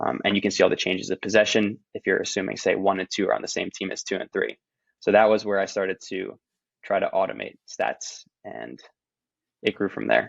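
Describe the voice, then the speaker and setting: A man with a New Jersey accent talks at a fairly quick pace. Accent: American, New Jersey. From New Jersey, US. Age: 20s. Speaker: professional roundnet player. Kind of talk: podcast interview.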